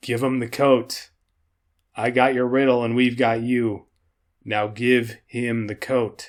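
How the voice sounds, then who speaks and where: A man uses a put-on character voice at a medium pitch, with monotone, flat intonation. He goes at a fairly slow pace with long, frequent pauses. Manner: menacing.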